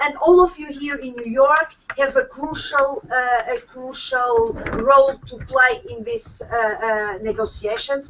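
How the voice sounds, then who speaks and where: With a Portuguese accent and a high pitch, a woman speaks at a fairly slow pace with hardly any pauses, lively intonation, and big swings in loudness, over noticeable background noise. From Portugal. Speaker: UN human rights expert. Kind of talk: panel speech. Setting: conference room with audience. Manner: halting, many fillers.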